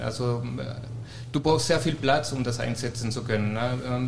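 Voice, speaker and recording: A man at medium pitch and moderate pace, fairly even intonation, noticeable background noise and audible room echo. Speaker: restaurateur. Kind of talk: casual chat. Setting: stage with audience.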